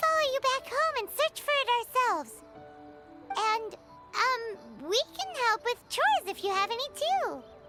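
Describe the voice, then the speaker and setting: A put-on, squeaky character voice at an extremely high pitch moves at a moderate pace with long, frequent pauses, while clear music plays in the background. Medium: video game. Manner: excitable, chatty.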